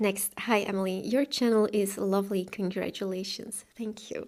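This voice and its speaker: With a Flemish accent, a woman speaks at a medium pitch. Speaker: booktuber and author. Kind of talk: Q&A video monologue. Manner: casual, with fillers.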